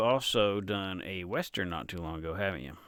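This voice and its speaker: With a Tennessee accent, a man talks at a moderate pace in a fairly low voice with a bright, sharp tone. The recording is very clean, with a silent background. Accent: Tennessee twang, natural. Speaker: author and interviewer. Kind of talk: casual interview chat.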